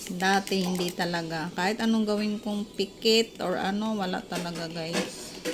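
A woman speaks at a medium pitch with fairly even intonation over noticeable background noise. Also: moderate pace, hardly any pauses. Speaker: vlogger. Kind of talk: casual vlog with product review. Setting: at home during a power outage.

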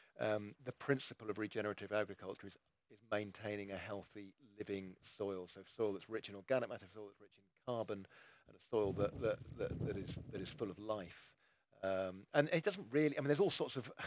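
A man with a fairly low pitch talks at a fairly quick pace with ordinary pitch variation and big swings in loudness, the sound dry with no echo amid noticeable background noise. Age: 50s. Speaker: ecologist; guest. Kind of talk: panel discussion. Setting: live event with audience. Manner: repeats words, halting. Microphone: headset.

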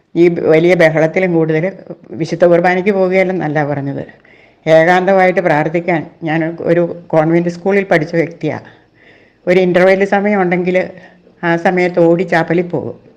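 This woman's voice sits fairly low in pitch. Her intonation is monotone and flat. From Kerala, India (Kothamangalam). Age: 60s. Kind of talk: emotional complaint, address to church leaders.

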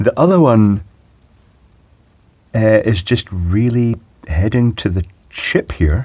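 A man speaks slowly in a dark, mellow tone with a slightly husky edge, his pitch fairly low and his intonation lively.

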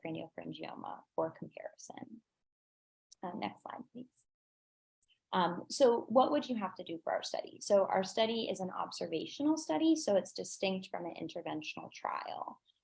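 Against a quiet background, a woman speaks at a moderate pace with big swings in loudness. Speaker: pediatric endocrinology fellow. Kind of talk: conference presentation. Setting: video call. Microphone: video call.

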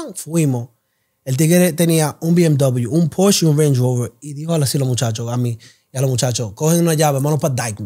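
A man's dark, mellow, somewhat breathy voice, fairly high in pitch with ordinary variation, at a fairly quick pace. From South Bronx, New York. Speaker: clothing brand founder. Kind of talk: interview.

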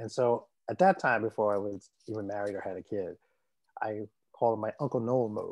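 Over a quiet background, a man with an American accent talks at a fairly quick pace with fairly even intonation. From US. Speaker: puppeteer; guest. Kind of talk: interview. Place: home room. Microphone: video call.

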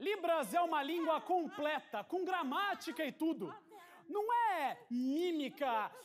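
Speech comes at a very slow pace with a Brazilian accent. Light background noise can be heard. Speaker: spoken word poet. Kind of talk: slam poetry performance. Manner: animated; punchy, rhythmic, numbered points. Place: stage. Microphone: studio mic.

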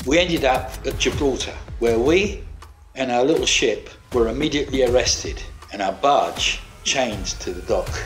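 The speaker talks at a moderate pace. Music plays in the background. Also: man. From British. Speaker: former sea captain. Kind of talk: personal storytelling narration.

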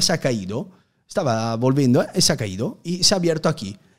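A man with a strong Italian accent speaks at medium pitch and a moderate pace. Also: quiet background. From Italy, Udine near Venice; Italy. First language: Italian (speaking Spanish). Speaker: youtuber. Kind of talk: casual interview. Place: studio. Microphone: studio mic.

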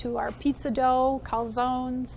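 Over light background noise, a woman speaks at a high pitch in a monotone, flat intonation. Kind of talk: interview answer. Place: cafe. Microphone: lapel.

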